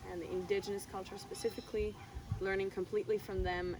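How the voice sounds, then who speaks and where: A woman speaks. There is noticeable noise in the background. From Switzerland. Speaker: aspiring eco-resort founder. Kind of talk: interview.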